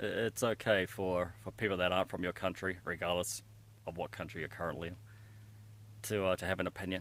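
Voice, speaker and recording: A man talks at a very fast pace in a very deep, low pitch with ordinary pitch variation. The recording is very clean, with a silent background. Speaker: hiking vlogger. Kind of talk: casual vlog monologue. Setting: outdoors on a hiking trail. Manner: hesitant, many fillers.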